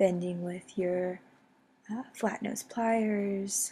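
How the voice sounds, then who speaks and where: A woman's medium-pitched voice is somewhat breathy, with a dark, mellow tone. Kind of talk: craft tutorial narration. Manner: casual, upbeat.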